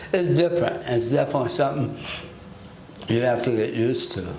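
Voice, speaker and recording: A man with an American accent talks at a moderate pace. Audible room echo and noticeable background noise surround his voice. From United States. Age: 60s. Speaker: dental patient. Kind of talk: testimonial interview. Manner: halting, with repetitions.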